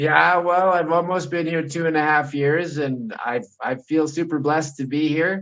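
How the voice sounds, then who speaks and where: A man with a plain, everyday voice, fairly high pitch and fairly even intonation, at a moderate pace with hardly any pauses. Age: 50s. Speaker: podcast host. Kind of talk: casual chat.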